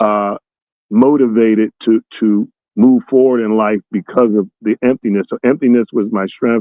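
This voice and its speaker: A man speaks in an unremarkable speaking voice at a medium pitch. He keeps a moderate pace with fairly even intonation. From US Northeast (North Philadelphia). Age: 60s. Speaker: motivational speaker. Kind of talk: interview.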